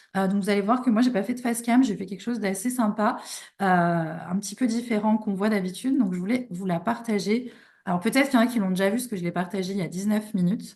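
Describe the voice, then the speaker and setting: A somewhat breathy woman at a very fast pace, medium in pitch with ordinary pitch variation, against a quiet background. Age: 30s. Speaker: online business coach. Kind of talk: live online workshop. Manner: hesitant, many fillers.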